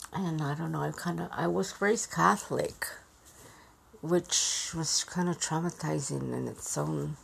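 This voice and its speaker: Noticeable noise sits in the background. The voice carries an American accent. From Yuma, Arizona (came from Mexico as a child). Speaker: personal storyteller recording a memoir. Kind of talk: personal memoir monologue. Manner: halting, many fillers and repetitions.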